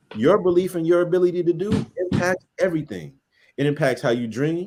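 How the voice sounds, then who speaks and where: With an American accent, a man talks at a fairly quick pace in an animated tone with ordinary pitch variation. Music plays in the background. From US West Coast, Los Angeles County. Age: 30s. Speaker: education researcher. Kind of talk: interview testimony.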